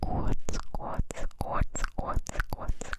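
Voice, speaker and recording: A man whispers in a breathy, put-on character voice. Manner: breathy, whispery.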